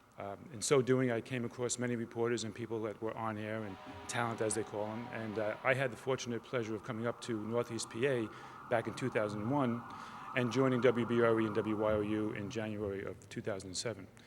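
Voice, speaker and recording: A man's fairly quick, monotone, flat speech with music in the background. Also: medium pitch for a man. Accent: New York. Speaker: TV station executive. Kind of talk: tribute speech. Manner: halting.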